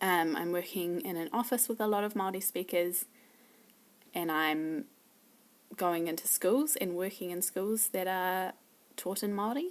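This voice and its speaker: A woman speaks at a medium pitch with a New Zealand accent, her pitch varying in an ordinary way at a moderate pace. The recording is very clean, with a silent background. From New Zealand, Wellington. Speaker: language learner. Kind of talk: casual self-introduction video. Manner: hesitant, many fillers.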